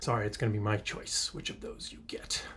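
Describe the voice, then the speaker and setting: The man's voice has a somewhat breathy quality. He moves along at a fairly quick clip. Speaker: middle school learning specialist. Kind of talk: talk to students. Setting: school. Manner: playful.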